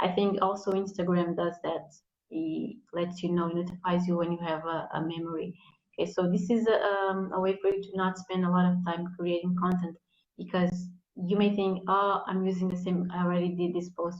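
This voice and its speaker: This woman talks at a moderate pace in a somewhat breathy voice, her fairly low pitch held in a flat, monotone delivery. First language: not English. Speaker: content marketing guest. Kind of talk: live interview, tips. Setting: live video stream.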